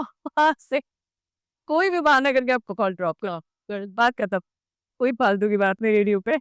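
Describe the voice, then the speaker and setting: A woman with a plain, everyday voice, fairly high pitch and lively intonation, in a dry, close sound with no echo. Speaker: radio jockey. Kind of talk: podcast interview answer.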